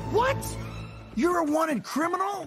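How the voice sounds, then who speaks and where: Over clear music in the background, a put-on character voice squeals at an extremely high pitch. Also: moderate pace. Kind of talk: film dialogue. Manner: surprised. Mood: surprised.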